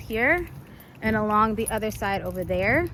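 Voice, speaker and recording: A woman's fairly high voice at a moderate pace. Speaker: event organizer. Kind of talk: walkthrough tutorial video. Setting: outdoors in a park. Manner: casual, filler-heavy.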